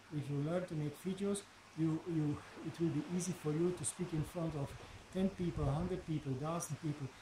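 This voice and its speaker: A man talks at a moderate pace in a fairly high pitch. His intonation stays fairly even over noticeable background noise. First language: Dutch. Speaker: video blogger and life coach; coach. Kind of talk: motivational vlog monologue. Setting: outdoors at home. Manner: halting, many fillers and repetitions; relaxed. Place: garden. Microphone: phone near.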